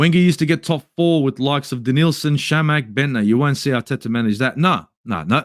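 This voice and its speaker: Talking at a very fast pace with lively intonation, a man uses an Australian accent and a fairly high pitch. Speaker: football YouTuber. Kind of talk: match review livestream.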